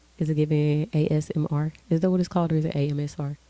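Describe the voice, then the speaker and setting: A woman with an American accent speaks in a very deep, low pitch and a dark, mellow tone. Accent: told she sounds like she's from Memphis. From Texas. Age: 20s. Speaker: lifestyle vlogger. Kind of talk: casual sit-down chat to camera. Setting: home bedroom, filming on camera. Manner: laid back, relaxed.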